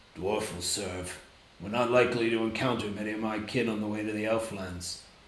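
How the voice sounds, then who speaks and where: A man puts on a gruff, gravelly character voice at a fairly low pitch. He moves at a fairly quick pace with a slight echo. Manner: curt, matter-of-fact.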